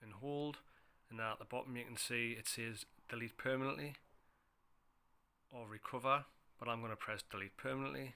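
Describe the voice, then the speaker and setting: Talking at a fairly quick pace with long, frequent pauses, a man uses a medium-pitched, bright, sharp tone and fairly even intonation. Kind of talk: phone how-to tutorial narration.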